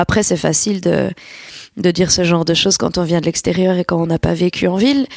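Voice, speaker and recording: In a normal speaking voice, a woman talks at a fairly low pitch and fairly quick pace, with ordinary pitch variation, very even loudness and a dry, close sound with no echo. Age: 20s. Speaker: singer. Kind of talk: interview.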